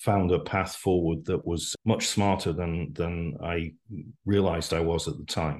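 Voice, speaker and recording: Someone speaks in a Welsh accent over a quiet background. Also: man. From Wales. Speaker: business executive. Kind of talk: casual interview chat.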